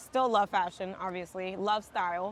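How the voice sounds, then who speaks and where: Over a quiet background, a woman's intonation stays fairly even. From New York City, Dominican American. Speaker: tech professional. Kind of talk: casual interview chat. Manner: loud.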